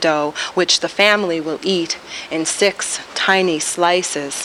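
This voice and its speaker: A woman with an American accent speaks at medium pitch with ordinary pitch variation. Noticeable background noise is present. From New York, the Bronx. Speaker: poet. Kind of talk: poetry reading. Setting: taped TV show at a bar venue.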